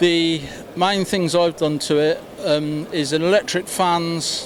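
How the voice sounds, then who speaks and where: The man's pitch is fairly high. He speaks in a flat monotone against noticeable background noise. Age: 70s. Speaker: retired amateur motorsport competitor. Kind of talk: interview.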